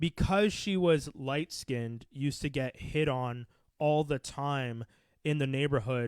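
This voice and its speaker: A man's normal speaking voice, fairly high and fairly slow, with ordinary pitch variation, in a very clean, dry, close recording with a silent background and no echo. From Quebec, Canada. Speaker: podcast host. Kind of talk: casual chat.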